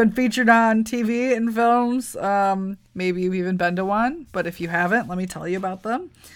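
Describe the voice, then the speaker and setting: Woman with an ordinary speaking voice and an American accent, fairly high pitch, ordinary pitch variation, moderate pace and big swings in loudness, on a very clean recording with a silent background. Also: hardly any pauses. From US Midwest (Wisconsin). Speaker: podcast co-host. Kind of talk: casual chat.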